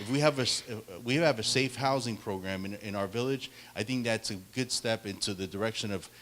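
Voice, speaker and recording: The speaker has a Spanish accent and lively intonation. The pace is fairly quick. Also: man. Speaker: political candidate. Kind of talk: debate answer. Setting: public meeting with audience. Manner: halting, many repetitions.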